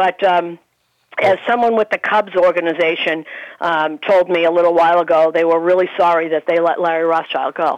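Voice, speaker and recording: A woman with an ordinary speaking voice talks at a fairly quick pace and a medium pitch, in a dry, close sound with no echo. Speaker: baseball radio broadcaster. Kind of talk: casual sports talk chat. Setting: phone call.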